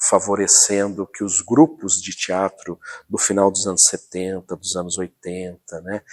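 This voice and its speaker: A man with an unremarkable speaking voice talks at a fairly slow pace in a fairly low pitch. His intonation is fairly even, and the sound is dry and close with no echo. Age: 60s. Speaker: local historian. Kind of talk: documentary interview.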